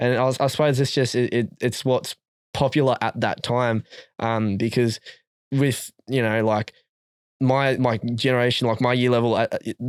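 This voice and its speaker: A man with an Australian accent speaks at a moderate pace and medium pitch, monotone and flat, with very even loudness in a dry, close sound with no echo. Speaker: rapper. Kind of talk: casual chat. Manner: halting.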